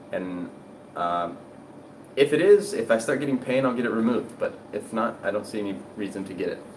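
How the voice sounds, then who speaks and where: A man talks at medium pitch, leaving long, frequent pauses. Noticeable background noise is present. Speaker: health and diet content creator. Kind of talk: live stream Q&A. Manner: fast; casual, conversational.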